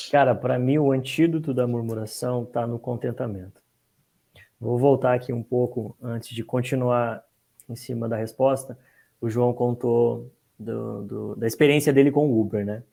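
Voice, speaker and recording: A man speaks at a medium pitch in a dark, mellow tone. His pace is moderate and his intonation fairly even. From Brazil, Curitiba. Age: 30s. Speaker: podcast guest. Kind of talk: casual podcast discussion. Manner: casual, slangy.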